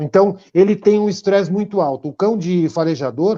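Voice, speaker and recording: A man with a high pitch, a dark, mellow tone and ordinary pitch variation, at a moderate pace over a quiet background. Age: 60s. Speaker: dog trainer. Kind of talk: interview.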